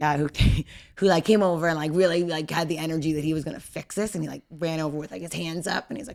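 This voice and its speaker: Talking at a very fast pace, a woman with a very deep, low pitch has an animated tone, ordinary pitch variation and big swings in loudness. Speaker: guest on podcast, wife of injured athlete. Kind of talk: casual interview chat.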